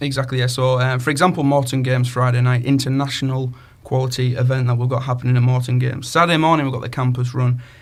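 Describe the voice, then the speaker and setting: Talking at a very fast pace with hardly any pauses, a man with a Cumbrian accent sounds somewhat breathy and uses monotone, flat intonation amid audible room echo. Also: medium pitch for a man. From northern England, Cumbria. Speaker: community radio co-host, sports coordinator. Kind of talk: casual radio chat. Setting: radio studio.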